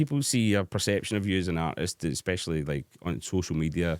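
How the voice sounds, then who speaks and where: In a Scottish accent, a man with a very deep, low pitch talks at a moderate pace with ordinary pitch variation, his dry, close sound free of echo on a very clean recording with a silent background. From Scotland. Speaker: hard dance DJ. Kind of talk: casual chat. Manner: halting.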